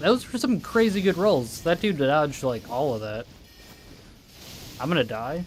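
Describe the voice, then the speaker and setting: A man's fairly high voice with very wide pitch swings, a moderate pace and long, frequent pauses, over music in the background. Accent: Midwestern. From Wisconsin, US Midwest. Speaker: gaming streamer. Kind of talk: casual chat. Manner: halting.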